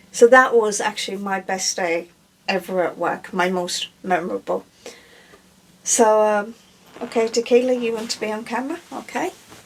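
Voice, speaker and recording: A woman with a slight Irish accent speaks at a moderate pace with a fairly high pitch. She leaves long, frequent pauses. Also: ordinary pitch variation. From Ireland. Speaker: breastfeeding specialist. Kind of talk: casual Q&A chat.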